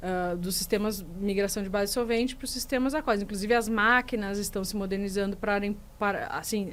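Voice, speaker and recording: With a strong southern Brazilian accent, a woman talks at a fairly quick pace and medium pitch, her pitch varying in an ordinary way. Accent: gaúcho accent, strong. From Rio Grande do Sul, Brazil. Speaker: business manager at a resin supplier. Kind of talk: podcast interview. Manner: hesitant, many repetitions.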